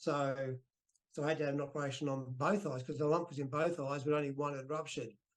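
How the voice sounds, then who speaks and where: Delivery is very fast, with fairly even intonation. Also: man, fairly high pitch for a man. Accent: Australian. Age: 60s. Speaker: retired professional wrestler. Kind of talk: interview.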